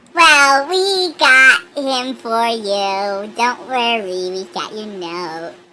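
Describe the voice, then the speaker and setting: A woman puts on a character voice that sits fairly high and swings very widely in pitch. She goes very slowly, with big swings in loudness. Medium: actual play. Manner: casual, breezy.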